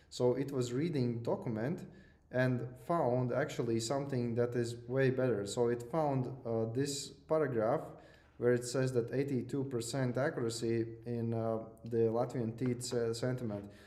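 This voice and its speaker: Audible room echo around a man speaking at a medium pitch. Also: fairly even intonation, moderate pace. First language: not English. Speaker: lecturer. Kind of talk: lecture. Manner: hesitant, many fillers and repeats.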